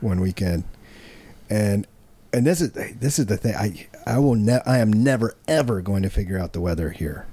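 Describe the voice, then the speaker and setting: The speaker is a man with a fairly low pitch and a dark, mellow tone. His pitch varies in an ordinary way. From small-town America. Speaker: comedy podcast host. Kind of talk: casual chat.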